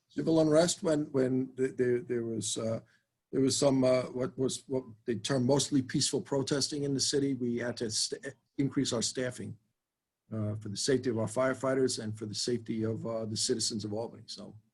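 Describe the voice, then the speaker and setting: Somewhat breathy and in a New York accent, the voice moves at a fairly quick pace with ordinary pitch variation. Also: man, medium pitch for a man. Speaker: fire chief. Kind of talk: budget hearing Q&A. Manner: halting, many fillers.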